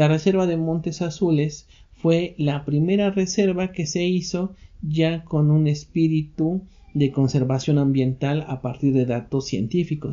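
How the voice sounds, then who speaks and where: Here a man speaks at a fairly slow pace. His pitch is fairly high, with ordinary pitch variation. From Mexico. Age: 40s. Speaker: lecturer, podcast host. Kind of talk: lecture. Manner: conversational, with filler hesitations.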